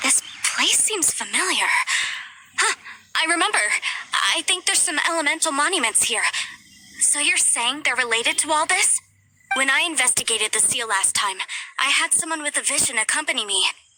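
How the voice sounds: A woman's put-on character voice at a high pitch, with a bright, sharp tone, lively intonation and a moderate pace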